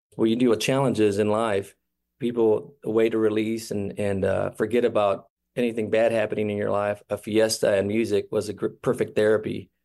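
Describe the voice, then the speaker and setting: Fairly quick in pace, a man speaks with a dark, mellow tone and a fairly low pitch. His intonation is monotone and flat, and the background is quiet. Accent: Midwestern US. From Kansas City, Missouri. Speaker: brother of a shooting victim. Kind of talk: radio interview. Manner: halting.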